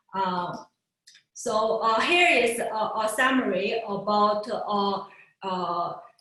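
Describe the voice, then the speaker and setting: A woman's fairly high pitch, very slow pace and long, frequent pauses, with audible room echo. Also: ordinary pitch variation. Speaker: physicist giving a research talk. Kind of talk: lecture. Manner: halting, many fillers.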